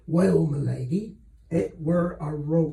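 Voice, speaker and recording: This man uses a put-on character voice. It is raspy and fairly high in pitch. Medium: read story. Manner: soft, deferential to nobility.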